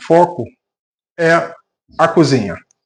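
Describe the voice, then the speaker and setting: Here a man talks in a high pitch. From Brazil, Rio de Janeiro. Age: 60s. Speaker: home cook, reality show applicant. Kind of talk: cooking tutorial; audition self-presentation.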